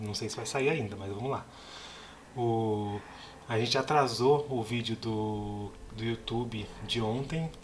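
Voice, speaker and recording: A man at medium pitch talks fairly slowly with ordinary pitch variation as noticeable background noise runs behind him. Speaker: movie podcast co-host. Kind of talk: casual chat.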